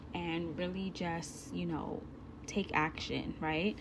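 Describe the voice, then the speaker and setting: A woman with a fairly low pitch sounds somewhat breathy, with audible room echo. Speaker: online course instructor. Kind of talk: recorded course lesson. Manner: slow, deliberate; casual, chatty.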